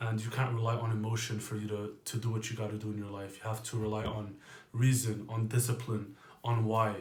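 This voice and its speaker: A man speaks quietly and somewhat breathily at a fairly low pitch and a fairly quick pace. His intonation is monotone and flat, with audible room echo. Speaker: fitness coach. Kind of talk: casual monologue.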